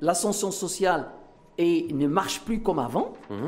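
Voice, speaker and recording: A man talks with a high-pitched voice. Noticeable background noise and audible room echo are present. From Morocco. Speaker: business leader and foundation president. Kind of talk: TV debate interview.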